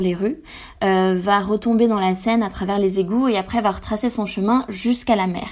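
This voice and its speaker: In a very clean recording with a silent background, a woman at a medium pitch talks at a moderate pace with fairly even intonation. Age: 20s. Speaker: environmental association co-founder, swimmer. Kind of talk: radio interview. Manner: hesitant, with frequent fillers.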